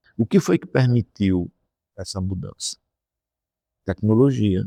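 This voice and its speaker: In a very clean recording with a silent background, a man speaks with fairly low pitch at a fairly slow pace, the sound dry and close with no echo. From Brazil, Rio Grande do Norte (Areia Branca). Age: 60s. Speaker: economics professor. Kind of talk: interview. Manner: halting, with frequent repetitions.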